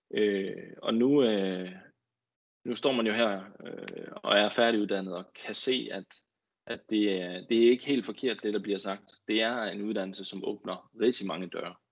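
A man speaks at a fairly low pitch and a fairly slow pace, with fairly even intonation. His loudness swings widely against a quiet background. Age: 20s. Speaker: marine engineer, head of engineering. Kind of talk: guest talk. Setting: video call. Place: home room. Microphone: earbuds.

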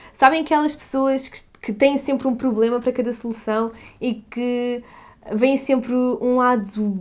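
This woman has a European Portuguese accent and a high pitch. She talks at a moderate pace. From Portugal. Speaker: YouTuber. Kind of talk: Q&A vlog. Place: home room.

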